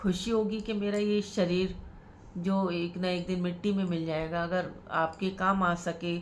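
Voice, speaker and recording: A woman speaks at a very slow pace with medium pitch. Her intonation is fairly even, and audible room echo surrounds her. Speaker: religious storyteller. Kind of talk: religious storytelling.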